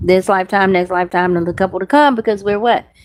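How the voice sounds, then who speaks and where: Animated in tone, a woman speaks at a medium pitch. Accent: Southern US. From US South. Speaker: faith vlogger and podcaster. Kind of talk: casual monologue. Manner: fast.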